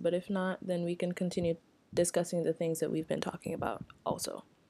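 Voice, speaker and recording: A soft-spoken woman's voice, dark and mellow in tone. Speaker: podcast co-host. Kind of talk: casual chat.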